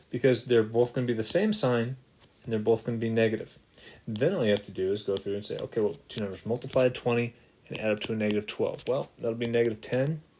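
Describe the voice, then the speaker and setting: The pace is very fast as this man talks. His intonation is fairly even. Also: medium pitch for a man. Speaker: math teacher. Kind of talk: tutorial.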